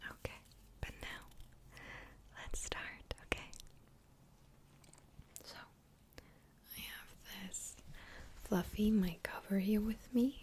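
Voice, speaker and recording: A woman speaks in a whisper. Her pace is very slow, with long, frequent pauses. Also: big swings in loudness. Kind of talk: ASMR whispering with positive affirmations. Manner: soft-spoken, whispered.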